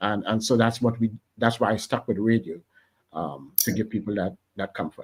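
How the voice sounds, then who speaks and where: In a Trinidadian accent, a man speaks at a moderate pace with a fairly low pitch, the sound dry and close with no echo. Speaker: radio station founder. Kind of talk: interview. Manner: animated.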